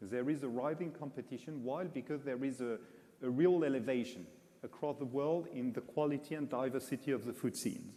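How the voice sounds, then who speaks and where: A man with a French accent speaks at a moderate pace in a dark, mellow tone, at medium pitch with ordinary pitch variation. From France. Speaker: international food guide executive. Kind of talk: press conference Q&A. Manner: halting, many fillers.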